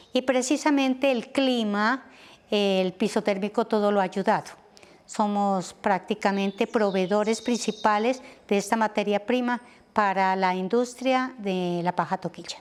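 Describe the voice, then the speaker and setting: In a very clean recording with a silent background, a woman with an ordinary speaking voice talks fairly slowly at a medium pitch, with ordinary pitch variation and very even loudness. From Colombia, Nariño (Linares). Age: 60s. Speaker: teacher. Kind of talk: interview. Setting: outdoors, garden patio.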